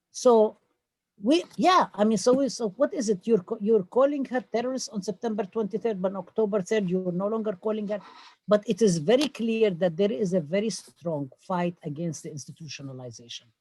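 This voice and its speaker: A woman with a Palestinian accent talks at a fairly quick pace in a medium, somewhat breathy voice with lively intonation. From Palestine. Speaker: professor. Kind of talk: town hall talk. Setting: video call. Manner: animated.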